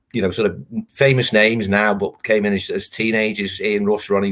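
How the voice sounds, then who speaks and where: This man's voice sits at a fairly low pitch with monotone, flat intonation. He talks at a moderate pace. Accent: Liverpool. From Liverpool, England. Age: 50s. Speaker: football writer. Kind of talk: interview.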